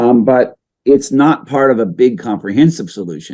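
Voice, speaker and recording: An American accent marks this man's dark, mellow voice, which moves at a moderate pace with lively intonation. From US, Kentucky/North Carolina/Virginia, with childhood in Saipan. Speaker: coral reef scientist. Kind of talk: interview. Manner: hesitant, many fillers and repetitions.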